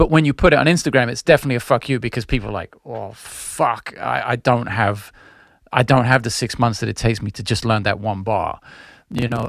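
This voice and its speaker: This man talks at a fairly quick pace with a medium pitch. His pitch varies an ordinary amount, and there is vocal fry. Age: 40s. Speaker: musician. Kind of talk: casual chat. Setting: video call.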